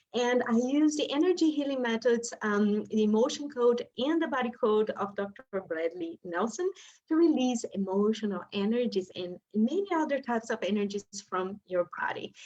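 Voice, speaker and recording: With lively intonation, a woman talks at a moderate pace and a fairly high pitch. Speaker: energy healing practitioner. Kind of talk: live session demonstration. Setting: live stream video call.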